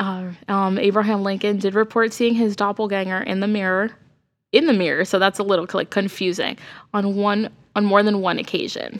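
A woman with an ordinary speaking voice talks at a medium pitch and a fairly quick pace, her intonation fairly even. The recording is very clean, with a silent background. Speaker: podcast co-host. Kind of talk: casual chat. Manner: laughs often.

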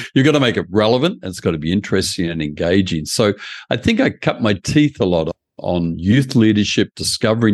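In an Australian accent, a man speaks at a fairly quick pace. The background is quiet, and the sound is dry and close with no echo. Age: 70s. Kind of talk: interview.

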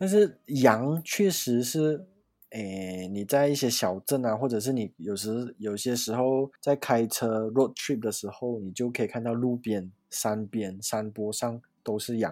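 On a very clean recording with a silent background, a man with a dark, mellow tone speaks at medium pitch and a fairly slow pace, with ordinary pitch variation. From Malaysia. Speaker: handmade soap maker and working holiday traveller. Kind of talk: casual chat.

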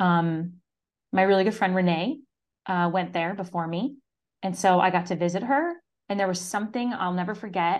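A woman with an American accent speaks at a moderate pace with ordinary pitch variation, long, frequent pauses and a quiet background. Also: medium pitch for a woman. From Syracuse, New York, US. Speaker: marketing mentor and business owner. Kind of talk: interview.

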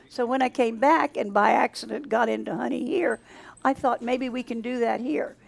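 A woman with a high pitch and ordinary pitch variation is heard in a dry, close sound with no echo, amid noticeable background noise. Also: moderate pace. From south Louisiana. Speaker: beekeeper and honey maker. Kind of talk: interview.

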